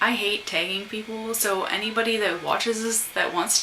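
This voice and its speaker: Soft-spoken and fairly high in pitch, a woman talks with ordinary pitch variation amid audible room echo and noticeable background noise. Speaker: vlogger. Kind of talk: casual chat. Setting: at home.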